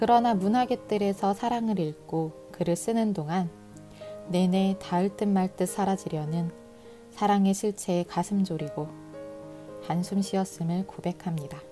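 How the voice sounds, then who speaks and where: Music plays in the background as a woman speaks at a fairly slow pace. Her pitch is medium, with ordinary variation. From Korea. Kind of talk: book prologue reading. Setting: home recording with earphone mic.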